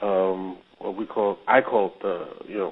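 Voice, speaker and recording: A man speaks at a fairly slow pace. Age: 60s. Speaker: interviewee, married groom. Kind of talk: interview. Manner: halting.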